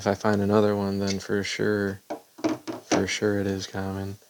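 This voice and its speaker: A man speaks in a flat, monotone voice at a fairly low pitch and a moderate pace. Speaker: stamp collector. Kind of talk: casual talk to camera. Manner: soft-spoken.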